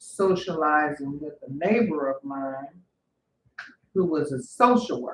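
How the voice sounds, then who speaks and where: A woman with a Louisiana accent, a very deep, low pitch, lively intonation, big swings in loudness and a fairly slow pace. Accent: acquired Louisiana. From Northern California, Bay Area. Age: 50s. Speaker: vlogger. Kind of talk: personal storytelling. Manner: halting, with fillers.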